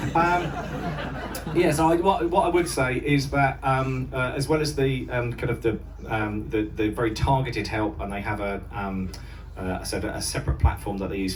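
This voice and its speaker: A man with an English accent speaks at a moderate pace and medium pitch with lively intonation. Noticeable background noise and audible room echo surround him. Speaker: mental health charity volunteer. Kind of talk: speech to audience. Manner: halting.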